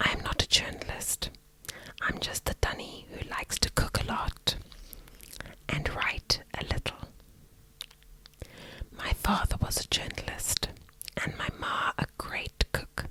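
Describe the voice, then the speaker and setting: Whispering from a woman at a fairly slow pace, long, frequent pauses, a dry, close sound with no echo, and noticeable background noise. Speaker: ASMR creator. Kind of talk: ASMR whispered reading to help sleep. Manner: whispered, soft, slow.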